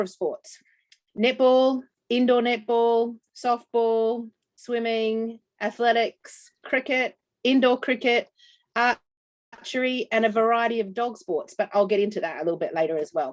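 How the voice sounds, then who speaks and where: On a very clean recording with a silent background and a dry, close sound with no echo, a woman with an Australian accent speaks at a fairly high pitch. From Australia, New South Wales. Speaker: dog trainer. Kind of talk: business presentation.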